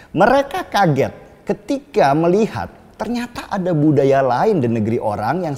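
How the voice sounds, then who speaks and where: A man's high pitch with very wide pitch swings, set against noticeable background noise. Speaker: political commentator. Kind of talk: opinion monologue. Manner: casual.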